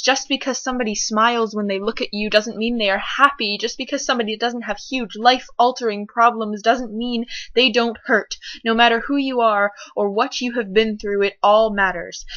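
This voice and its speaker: A woman with a plain, everyday voice, fairly high in pitch, at a moderate pace with fairly even intonation. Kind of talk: spoken word poetry performance.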